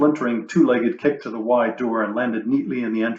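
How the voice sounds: Heard here is a natural reading voice.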